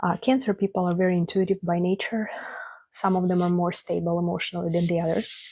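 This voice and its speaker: Somewhat breathy and fairly low, a woman with a non-native accent speaks in a monotone, flat intonation, the sound dry and close with no echo. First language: not English. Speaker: astrologer. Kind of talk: astrology forecast monologue. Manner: casual, hesitant with fillers.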